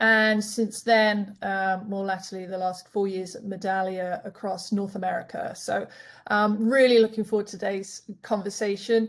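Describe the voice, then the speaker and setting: Against a quiet background, a woman of medium pitch with a European accent speaks at a moderate pace in a monotone, flat intonation, her loudness swinging widely. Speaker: customer experience solutions specialist. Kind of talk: panel webinar discussion.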